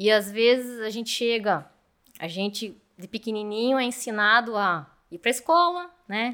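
Her bright, sharp voice sits at a fairly high pitch, with lively intonation at a moderate pace. This woman's loudness swings widely. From Brazil, Curitiba. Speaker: mechanical engineer and manager. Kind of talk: interview.

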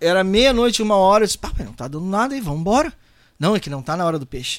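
A man speaks at a very fast pace with a high pitch and very wide pitch swings. The recording is very clean, with a silent background. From Porto Alegre, Rio Grande do Sul, Brazil. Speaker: singer and songwriter. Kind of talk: casual interview chat.

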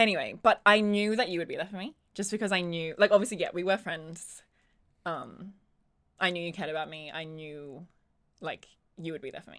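With an Australian accent, a woman at medium pitch talks at a fairly quick pace, her loudness swinging widely and her pitch varying in an ordinary way, broken by long, frequent pauses. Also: very clean recording, silent background. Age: 20s. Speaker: podcast co-host. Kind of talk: casual chat.

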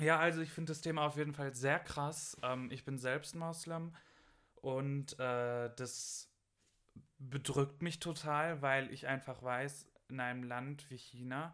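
At a very slow pace, a man speaks in a fairly high, monotone voice with flat intonation. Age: 20s. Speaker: university student. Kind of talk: casual chat.

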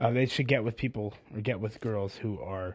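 A man speaks at a moderate pace with a fairly low pitch and ordinary pitch variation. His voice is somewhat breathy, against a quiet background. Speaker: documentary maker. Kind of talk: casual interview conversation.

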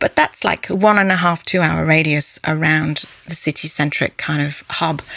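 The speech moves at a moderate pace with fairly even intonation. Noticeable background noise is present. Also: woman, very deep, low pitch for a woman, dry, close sound with no echo. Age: 40s. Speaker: cellist and music teacher. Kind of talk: interview. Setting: video call.

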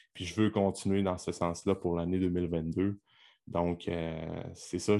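A man with a Quebec accent, a dark, mellow tone and fairly even intonation, against a quiet background. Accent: Québécois French. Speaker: podcast host and fitness coach. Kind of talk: solo podcast monologue. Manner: hesitant, many filler words.

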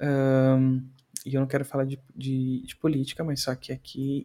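Dark and mellow in tone, a man talks at a fairly slow pace with a medium pitch. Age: 20s. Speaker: podcast host. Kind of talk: casual solo commentary. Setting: home recording, video podcast. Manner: halting, frequent repetitions.

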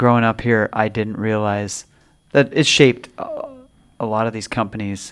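In a Pacific Northwest accent, a man talks at a fairly slow pace with a medium pitch and fairly even intonation, on a very clean recording with a silent background. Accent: Pacific Northwest American. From Spokane, Washington. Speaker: podcast co-host. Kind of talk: casual chat.

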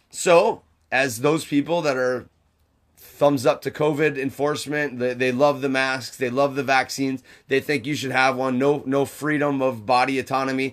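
A loud man's voice at a medium pitch with monotone, flat intonation, moderate in pace, on a very clean recording with a silent background. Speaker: podcast co-host. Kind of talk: casual chat.

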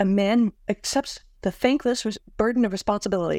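A woman with a plain, everyday voice and an American accent, fairly high in pitch with ordinary pitch variation and a fairly quick pace, on a very clean, dry, close recording with a silent background and no echo. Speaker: podcast co-host discussing a novel. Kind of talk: casual chat.

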